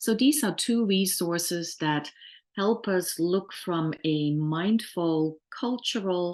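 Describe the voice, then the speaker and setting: A woman with a Dutch accent and medium pitch, very slow yet lively in intonation, over a quiet background. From Netherlands. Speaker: workplace trainer. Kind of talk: webinar lecture. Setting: online webinar.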